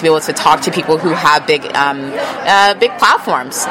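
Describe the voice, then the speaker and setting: Over crowd noise in the background, a woman speaks at a fairly quick pace. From Texas. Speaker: political influencer. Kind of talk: interview. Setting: conference venue.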